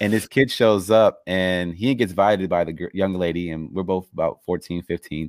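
Recorded very cleanly against a silent background, the speaker uses an American accent and a fairly quick pace with ordinary pitch variation, in a dry, close sound with no echo. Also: man. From Los Angeles, US. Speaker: podcast host. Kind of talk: interview. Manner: halting.

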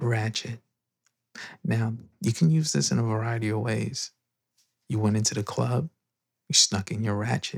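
With a New York accent, a man talks at a moderate pace and medium pitch, somewhat breathy and with lively intonation, leaving long, frequent pauses, in a dry, close sound with no echo. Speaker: podcast host. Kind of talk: casual chat. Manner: whispering.

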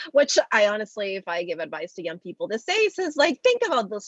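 In a dry, close sound with no echo, a woman speaks at a fairly quick pace with very wide pitch swings. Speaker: media founder, entrepreneur. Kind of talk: interview, podcast conversation.

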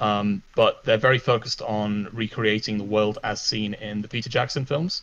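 Speaking at a moderate pace, a man with a normal speaking voice keeps his fairly low pitch and intonation fairly even. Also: hardly any pauses. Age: 20s. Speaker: Minecraft server founder. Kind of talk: casual interview.

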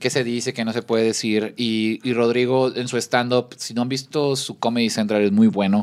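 At a moderate pace and medium pitch, this man delivers his words in a flat, monotone way. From Mexico, Baja California Sur (La Paz). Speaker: podcast guest. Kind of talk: casual chat.

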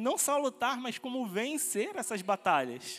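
A man's extremely high-pitched voice at a fairly slow pace. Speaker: pastoral trainee preaching. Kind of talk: sermon, preaching a Bible study message to a congregation. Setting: church. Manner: earnest, fervent preacher's delivery, rising with conviction and ending in praise.

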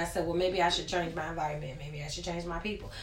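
Noticeable background noise and audible room echo surround a woman talking at a very fast pace, her fairly low pitch held in monotone, flat intonation. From Richmond, Virginia, US. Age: 20s. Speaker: podcast guest sharing personal story. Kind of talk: testimony.

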